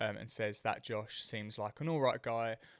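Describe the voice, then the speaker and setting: A man with a British accent talks at medium pitch in a dry, close sound with no echo. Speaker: fitness coach and podcast host. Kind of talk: solo podcast monologue. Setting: talking to a camera. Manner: fast.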